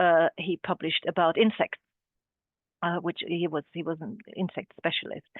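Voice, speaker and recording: A woman speaks at a moderate pace and medium pitch with a German accent. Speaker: art historian and curator. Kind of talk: webinar talk. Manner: halting, many fillers.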